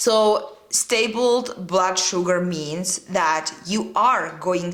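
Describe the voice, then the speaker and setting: The speaker has a Czech accent. Noticeable background noise and audible room echo come through. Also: woman. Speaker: fitness and nutrition coach, podcast host. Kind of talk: solo podcast monologue. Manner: casual, with frequent fillers.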